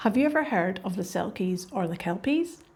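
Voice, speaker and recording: A woman speaks with a Scottish accent. Her voice is somewhat breathy, with a dark, mellow tone. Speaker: podcast host. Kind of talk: educational podcast narration for English learners. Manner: clear, relaxed storytelling.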